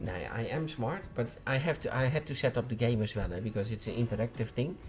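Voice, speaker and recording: With a Dutch accent, a man talks at a very fast pace in a medium-pitched, somewhat breathy voice with ordinary pitch variation. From Netherlands. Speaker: vlogger. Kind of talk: casual chat. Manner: halting.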